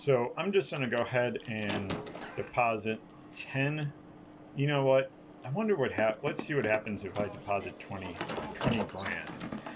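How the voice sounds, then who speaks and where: A man with lively intonation, a fairly slow pace and long, frequent pauses, over noticeable background noise. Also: medium pitch for a man. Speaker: gaming YouTuber. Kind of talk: gameplay commentary. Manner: halting, many fillers.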